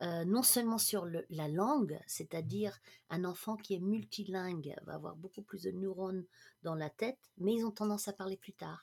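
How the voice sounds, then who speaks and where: With ordinary pitch variation at a moderate pace, a plain, everyday voice comes through with a dry, close sound and no echo. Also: woman, medium pitch for a woman. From international upbringing, mainly Germany. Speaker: management coach. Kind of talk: casual interview chat.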